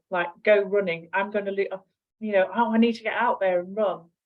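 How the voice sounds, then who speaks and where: A woman uses an ordinary speaking voice at a medium pitch, and her pitch varies in an ordinary way. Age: 50s. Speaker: nutritional therapist. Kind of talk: casual interview chat.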